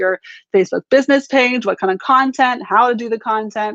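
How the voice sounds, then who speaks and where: Very fast speech comes through dry and close, with no echo. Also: woman. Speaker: social media marketing coach. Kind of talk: live-stream tutorial. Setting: live video stream.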